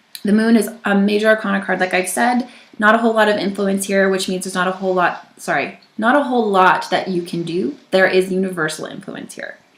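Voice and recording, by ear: A woman at medium pitch and a fairly quick pace, with ordinary pitch variation, few pauses and audible room echo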